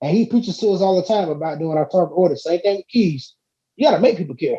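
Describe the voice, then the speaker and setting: A man with a dark, mellow tone and high pitch speaks very fast with lively intonation. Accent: Southern US. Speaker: hip-hop artist. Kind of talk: casual chat. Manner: animated.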